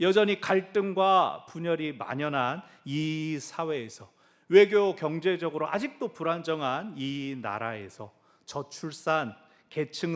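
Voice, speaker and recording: With lively intonation and a fairly high pitch, a man speaks at a very slow pace. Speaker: pastor. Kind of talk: sermon. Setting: church.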